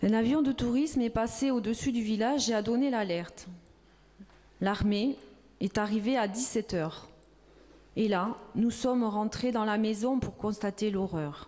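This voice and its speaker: A woman's fairly high-pitched voice with a dark, mellow tone, at a fairly slow pace with long, frequent pauses. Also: ordinary pitch variation, very even loudness. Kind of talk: reading of a witness testimony.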